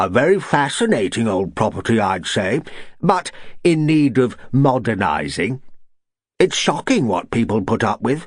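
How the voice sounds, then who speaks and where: A man puts on a booming character voice with medium pitch and very wide pitch swings. He keeps to a moderate pace. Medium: read story. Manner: booming, bluff.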